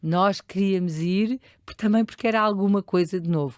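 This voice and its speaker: With a dry, close sound and no echo, a woman speaks at a moderate pace and a fairly low pitch, using ordinary pitch variation. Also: very clean recording, silent background. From Portugal, Lisbon area (Oeiras). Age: 60s. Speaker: charity leader. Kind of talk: interview. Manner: hesitant, many fillers.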